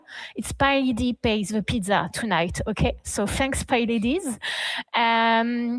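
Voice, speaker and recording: A woman speaks very slowly, her fairly high pitch showing ordinary variation. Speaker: community event organizer. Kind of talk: event introduction. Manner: hesitant, many fillers; switches between French and English.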